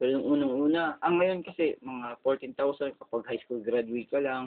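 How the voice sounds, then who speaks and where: With fairly even intonation, the man's voice rests at a medium pitch. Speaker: vlogger. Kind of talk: casual monologue. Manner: halting, many fillers.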